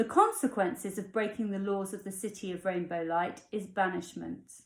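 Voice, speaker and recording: A woman's medium-pitched voice, an ordinary speaking voice, with ordinary pitch variation and a moderate pace. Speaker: author reading her own fairy tale. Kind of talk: fairy tale narration with character dialogue. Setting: at home, evening.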